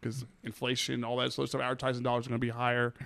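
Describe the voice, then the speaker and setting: An American-accented man talks at a very fast pace. His pitch is medium. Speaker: sports broadcast traffic coordinator. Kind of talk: casual chat. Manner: fast talker.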